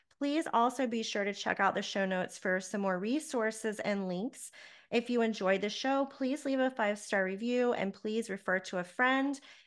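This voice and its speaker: A normal speaking voice from a woman, fairly high in pitch with ordinary variation, moving at a moderate pace with hardly any pauses over a quiet background. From Charlotte, North Carolina. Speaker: podcast host, life coach. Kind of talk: interview; scripted outro.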